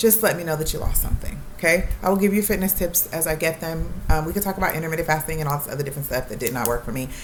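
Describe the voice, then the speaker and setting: A woman talks at a very fast pace with hardly any pauses, her pitch fairly low with ordinary variation. Noticeable background noise runs underneath. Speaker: YouTuber, nursing student. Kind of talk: casual vlog talk to camera. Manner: rambling with many ums.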